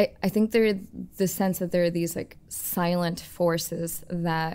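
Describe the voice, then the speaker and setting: A woman with a fairly low pitch and a dark, mellow tone speaks at a fairly slow pace. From India. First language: Hindi. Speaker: film director and artist. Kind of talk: interview. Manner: halting, many fillers and restarts.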